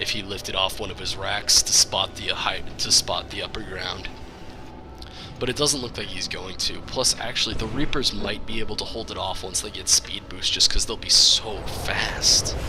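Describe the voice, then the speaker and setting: With music in the background, a man with a fairly low pitch speaks at a moderate pace with ordinary pitch variation. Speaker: game commentator. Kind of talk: video game shoutcast commentary.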